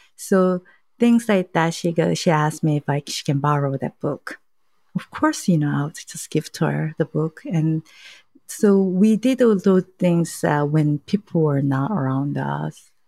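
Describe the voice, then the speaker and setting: Speaking at a fairly slow pace, a woman with a Korean accent has a very deep, low pitch, ordinary pitch variation and a dark, mellow tone, in a dry, close sound with no echo. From South Korea. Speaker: journalist. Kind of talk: interview testimony. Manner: halting.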